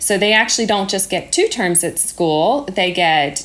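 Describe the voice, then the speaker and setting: Against noticeable background noise, a woman speaks with an American accent. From United States. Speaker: primary school teacher. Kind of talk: interview. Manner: hesitant, many ums.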